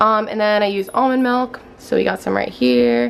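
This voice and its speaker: Noticeable background noise is present. Over it, a woman speaks at a moderate pace. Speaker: health and smoothie vlogger. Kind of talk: recipe tutorial. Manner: casual.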